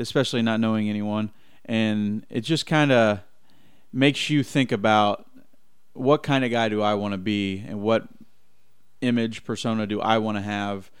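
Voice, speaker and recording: Speaking at a moderate pace with fairly even intonation, a man leaves long, frequent pauses. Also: fairly low pitch for a man. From central Indiana. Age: 20s. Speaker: professional baseball player. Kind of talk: radio interview. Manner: halting.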